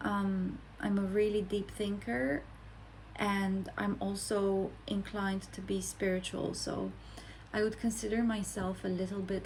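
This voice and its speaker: The speech moves at a fairly slow pace. Room echo can be heard. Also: woman. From Romania. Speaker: content creator. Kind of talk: personal introduction monologue. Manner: reflective, with hesitations.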